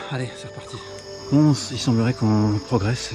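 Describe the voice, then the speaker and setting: A man with a medium-pitched voice and ordinary pitch variation talks over background music. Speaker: urban explorer vlogger. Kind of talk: vlog narration while exploring. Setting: outdoors in jungle.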